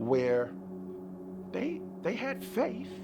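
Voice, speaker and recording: A man's fairly low voice at a very slow pace, with music in the background. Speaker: spoken word poet. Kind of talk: spoken word poetry performance.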